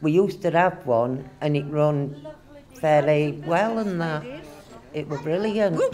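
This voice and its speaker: A woman's very deep, low voice at a fairly slow pace, with ordinary pitch variation, noticeable background noise and audible room echo. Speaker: community centre volunteer. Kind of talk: interview.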